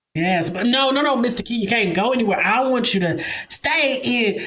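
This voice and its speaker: With an American accent and an animated tone, a woman talks at a moderate pace with lively intonation, amid audible room echo and noticeable background noise. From Kansas. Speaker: talk show host. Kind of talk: interview. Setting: live stream.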